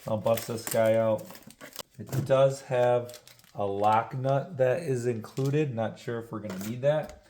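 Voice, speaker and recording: Amid noticeable background noise and audible room echo, a man speaks at a medium pitch and a fairly slow pace with ordinary pitch variation. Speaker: car enthusiast YouTuber. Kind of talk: DIY tutorial vlog.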